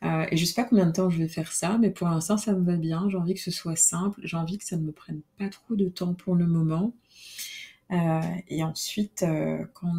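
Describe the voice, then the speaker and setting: A dark, mellow, somewhat breathy tone at a moderate pace with fairly even intonation. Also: woman. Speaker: podcast host. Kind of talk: solo podcast monologue. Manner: hesitant, many fillers.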